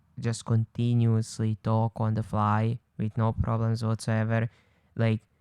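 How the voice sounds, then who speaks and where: A man speaks at a medium pitch in a Croatian accent, his tone dark and mellow and his intonation flat and monotone. The pace is fairly slow, and the recording is very clean with a silent background. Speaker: podcast co-host. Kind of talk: casual chat. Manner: hesitant sentence starts, repeats first words.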